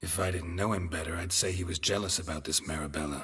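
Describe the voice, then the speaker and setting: A man uses a put-on character voice, pitched very deep and low and talking at a very fast pace, on a very clean recording with a silent background. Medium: video game. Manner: dry, laconic.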